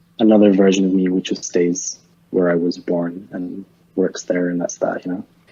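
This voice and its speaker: In a Scottish accent, a man speaks at a moderate pace with a very deep, low pitch and monotone, flat intonation. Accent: weird Scottish. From Scotland, Edinburgh. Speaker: art director and photographer. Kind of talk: casual chat.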